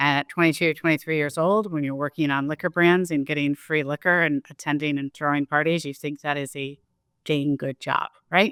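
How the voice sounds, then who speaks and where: A woman with an American accent talks at a fairly quick pace in a very deep, low pitch, her intonation fairly even. The recording is very clean, with a silent background and a dry, close sound with no echo. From Chicago, US Midwest. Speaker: marketing executive. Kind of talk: interview.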